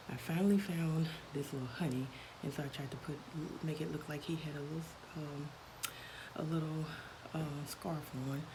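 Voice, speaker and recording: A woman whispers at a moderate pace, with long, frequent pauses. Room echo is audible, and there is noticeable background noise. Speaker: crafting vlogger. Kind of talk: casual show-and-tell vlog. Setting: at work. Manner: whispering; hesitant, many fillers.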